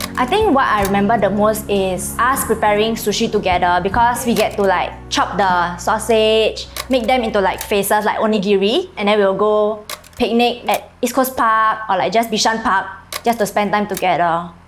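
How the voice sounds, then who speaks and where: With an Indonesian accent and music in the background, a woman talks at a moderate pace and a fairly high pitch, her loudness very even and her pitch variation ordinary. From Indonesia, Kuala Tungkal. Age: 20s. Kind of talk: interview answer.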